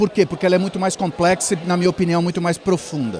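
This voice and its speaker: Noticeable background noise surrounds the speaker. A man talks at a high pitch. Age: 60s. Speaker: media executive and speaker. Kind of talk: interview. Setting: event.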